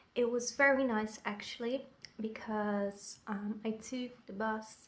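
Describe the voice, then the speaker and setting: A woman speaks with a Dutch accent and fairly even intonation. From Netherlands. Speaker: vlogger. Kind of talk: vlog.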